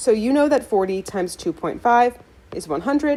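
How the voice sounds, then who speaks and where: A woman with a fairly high pitch speaks at a moderate pace, her voice moving in very wide pitch swings. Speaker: math teacher. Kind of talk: tutorial.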